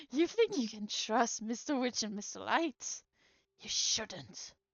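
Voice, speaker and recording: Putting on a character voice, a woman talks at a fairly slow pace and a fairly high pitch. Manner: mimicked voice.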